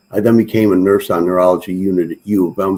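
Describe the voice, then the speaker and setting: A man's very fast delivery, dark and mellow in tone, fairly low in pitch, with ordinary pitch variation. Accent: American. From Detroit area, Michigan. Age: 70s. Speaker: independent presidential candidate. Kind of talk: interview.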